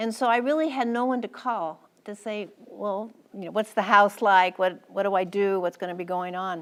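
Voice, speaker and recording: Speaking at a moderate pace with an American accent, a woman uses a medium pitch and ordinary pitch variation. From United States. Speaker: former ambassador's wife and War College lecturer. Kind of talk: public lecture. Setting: lecture hall with audience.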